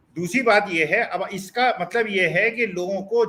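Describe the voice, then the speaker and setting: A man's high-pitched, raised and projected voice, bright and sharp in tone, at a moderate pace. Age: 70s. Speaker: political commentator. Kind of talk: panel debate. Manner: animated.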